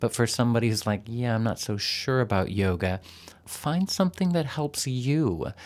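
Speaking in an unremarkable speaking voice, a man with an American accent keeps a medium pitch, lively intonation, moderate pace and very even loudness on a very clean recording with a silent background. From Texas. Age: 50s. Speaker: yoga teacher. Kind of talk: interview.

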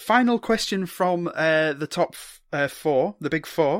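A man with a British accent talks at a fairly slow pace in a high pitch with lively intonation, in a dry, close sound with no echo. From Britain. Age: 30s. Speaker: podcast host. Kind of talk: casual chat interview. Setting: remote call across time zones.

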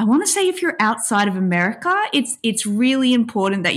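A woman with an Australian accent. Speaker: author and PhD student. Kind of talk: casual interview.

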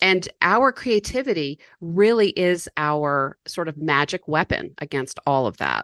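Speaking at a fairly slow pace with hardly any pauses, a woman uses a fairly low pitch that moves in very wide swings, recorded with a dry, close sound with no echo. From US South, mountains of North Carolina. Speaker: author and business coach. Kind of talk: podcast interview.

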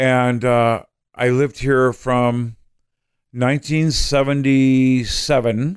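A man speaks at a very slow pace. His medium-pitched delivery is monotone and flat. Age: 30s. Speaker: comedian. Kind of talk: casual chat. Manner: halting.

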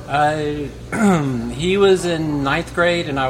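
There is noticeable background noise behind a man speaking with an American accent. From Texas. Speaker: filmmaker. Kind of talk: casual interview. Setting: live recording in a coffee shop.

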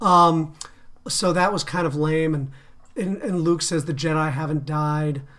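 A man has an ordinary speaking voice, fairly high in pitch, with fairly even intonation at a fairly slow pace. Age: 40s. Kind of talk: casual chat.

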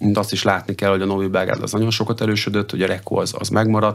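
Very fast speech comes through with noticeable background noise behind it. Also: man. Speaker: water polo head coach. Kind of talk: radio interview. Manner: halting, many fillers and repetitions.

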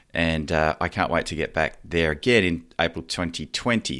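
On a very clean recording with a silent background, a man speaks in a very deep, low voice with an Australian accent. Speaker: podcast host. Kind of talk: scripted narration; interview.

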